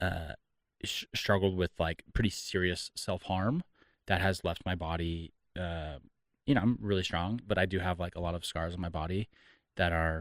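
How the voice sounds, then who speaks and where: A man with a Californian accent speaks at a moderate pace in a very deep, low voice, his intonation fairly even and his speech broken by long, frequent pauses, on a very clean recording with a silent background and a dry, close sound free of echo. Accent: General American (Californian). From Southern California. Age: 30s. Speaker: entrepreneur and mental health advocate. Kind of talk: podcast interview, personal testimony. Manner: halting, many repeated words.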